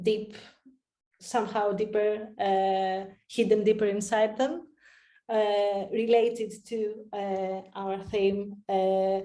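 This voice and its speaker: In a room with audible echo, a woman with a medium-pitched voice and a dark, mellow tone talks very slowly in a flat monotone, leaving long, frequent pauses. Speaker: researcher presenting a project. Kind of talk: conference Q&A. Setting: online conference. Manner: halting, many fillers.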